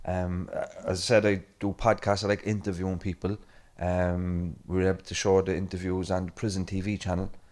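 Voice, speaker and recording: Monotone, flat intonation at a fairly quick pace with a Cork accent, in a very clean recording with a silent background. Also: man, very deep, low pitch for a man. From Ireland, Cork City. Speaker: event chair and podcaster. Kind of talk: conference chairing remarks.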